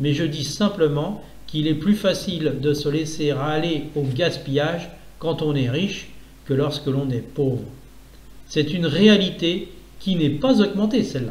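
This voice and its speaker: A man's fairly high-pitched, a plain, everyday voice with ordinary pitch variation. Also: fairly slow pace. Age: 60s. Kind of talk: reading of own essay on economics.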